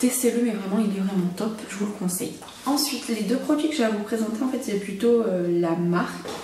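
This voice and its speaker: Over noticeable background noise and audible room echo, a woman talks at a fairly quick pace with ordinary pitch variation. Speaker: beauty vlogger. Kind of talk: casual vlog talk. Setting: at home, not usual set. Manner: soft-spoken; hesitant, many fillers.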